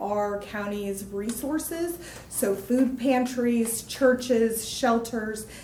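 At a very slow pace, a woman speaks in a fairly high voice with fairly even intonation. Noticeable background noise and audible room echo surround her. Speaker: mental health care manager presenting to county board. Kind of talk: informational presentation at public meeting. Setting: county commissioners meeting room.

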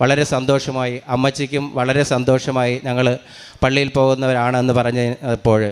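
A man at medium pitch with monotone, flat intonation, over noticeable background noise. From Kerala, Thiruvananthapuram district. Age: 50s. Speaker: retired school clerk and parish catechist. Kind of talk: religious testimony.

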